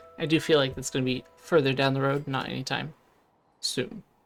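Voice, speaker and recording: Very fast speech with music in the background. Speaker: gaming YouTuber. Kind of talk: gameplay commentary. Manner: slurring words slightly; casual, hesitant with fillers.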